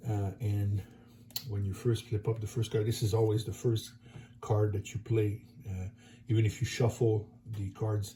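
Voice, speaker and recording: With a slight French accent, a man speaks in a fairly low pitch and a dark, mellow, somewhat breathy tone, his intonation monotone and flat, broken by long, frequent pauses. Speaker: board game YouTuber. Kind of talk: tutorial. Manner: halting.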